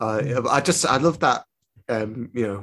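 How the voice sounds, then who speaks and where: The speaker is a man with a Lancashire accent. His pitch is fairly low. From northern England, Preston. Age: 30s. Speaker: podcast host. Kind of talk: interview.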